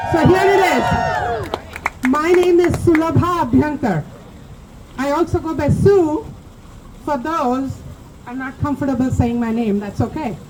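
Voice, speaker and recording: The speaker moves at a fairly slow pace with lively intonation and long, frequent pauses. Crowd noise and audible room echo fill the background. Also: woman, high pitch for a woman. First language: not English. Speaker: community speaker at vigil. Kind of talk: public speech at protest vigil. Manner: impassioned.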